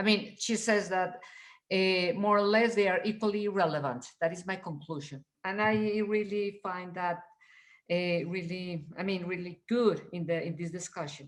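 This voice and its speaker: The tempo is neither fast nor slow. The pitch shifts in a typical manner. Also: woman, medium pitch for a woman. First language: not English. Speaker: reading group participant. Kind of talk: seminar discussion.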